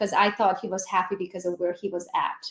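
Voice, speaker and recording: A woman with a Hungarian accent, over noticeable background noise. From Transylvania, Romania (Hungarian minority). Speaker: real estate agent. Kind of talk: casual chat.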